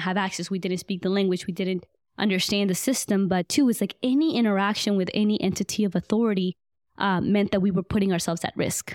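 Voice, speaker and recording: A woman talks at a fairly quick pace in a Spanish accent. The sound is dry and close with no echo. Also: very clean recording, silent background. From Guatemala, raised in Atlanta, Georgia. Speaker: medical student and nonprofit founder. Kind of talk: interview.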